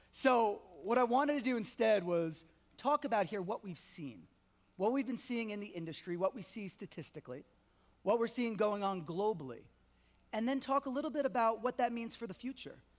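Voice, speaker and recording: With a New York accent, a man talks at a fairly quick pace in a high, animated voice full of lively intonation. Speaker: payments industry executive. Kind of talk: conference talk. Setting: stage with audience. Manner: fast.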